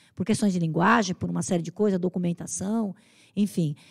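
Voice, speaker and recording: Quiet surrounds this somewhat breathy voice. It moves along at a fairly quick pace. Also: woman. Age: 60s. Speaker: human rights activist and political candidate; candidate. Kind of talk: podcast interview. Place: studio. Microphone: studio mic.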